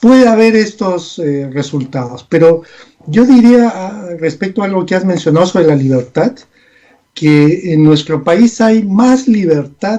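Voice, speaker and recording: His tone is dark and mellow. This man's intonation is lively, at a fairly slow pace. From Peru. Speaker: communication analyst. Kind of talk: political analysis interview.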